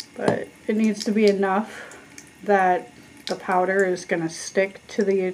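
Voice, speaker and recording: Noticeable background noise runs through the clip. The woman's pitch sits in the medium range. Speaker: vlogger. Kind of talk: tutorial.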